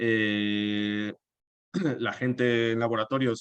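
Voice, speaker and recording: This man talks at a fairly low pitch. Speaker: environmental activist. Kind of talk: webinar presentation. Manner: halting.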